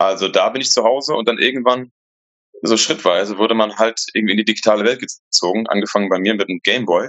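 Very fast speech from a man at a medium pitch, with fairly even intonation. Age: 40s. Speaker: coworking space founder. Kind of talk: casual interview.

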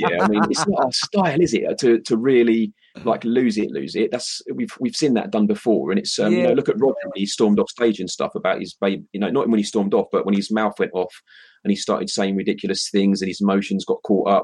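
A man talks at a fairly quick pace with a British accent. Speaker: livestream show co-host. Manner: casual, chatty.

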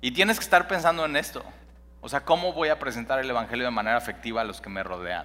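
Speaking at a very fast pace, a man with a medium pitch and a bright, sharp tone makes very wide pitch swings. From Mexico City. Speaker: pastor. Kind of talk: sermon. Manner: halting.

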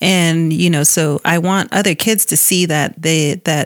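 A woman with an American accent has an unremarkable speaking voice at a fairly low pitch. Her intonation is fairly even. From Tuba City area, Arizona (Hopi reservation). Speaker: bank employee. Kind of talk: interview. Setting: studio.

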